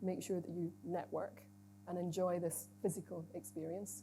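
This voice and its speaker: Very wide pitch swings, a dark, mellow tone and vocal fry. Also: woman. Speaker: chief executive giving opening address. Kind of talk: conference opening speech. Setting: stage with audience. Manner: conversational, informal asides.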